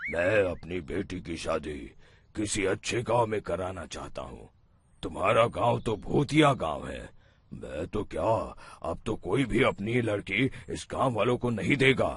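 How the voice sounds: A raspy, cartoonish character voice speaks at a fairly slow pace with lively intonation over a quiet background. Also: man, fairly low pitch for a man.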